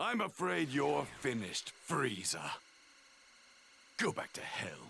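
Putting on a raspy character voice, a man speaks at medium pitch and a fairly slow pace. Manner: defiant, menacing.

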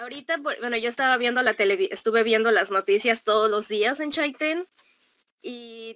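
Against a quiet background, a woman talks at a moderate pace and fairly high pitch, her tone bright and sharp with ordinary pitch variation. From Mexico. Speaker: traveler living abroad; guest. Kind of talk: casual interview. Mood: cheerful, smiling, laughing. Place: home room.

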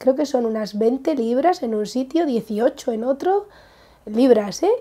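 A woman's high pitch with a dark, mellow tone. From Spain. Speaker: craft vlogger. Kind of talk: casual vlog. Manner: halting. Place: home room. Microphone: lapel.

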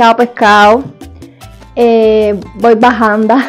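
A woman speaks very slowly in an upbeat tone. Faint music plays in the background. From Cuba. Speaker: YouTuber. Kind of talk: casual talk to camera. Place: home room. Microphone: lapel.

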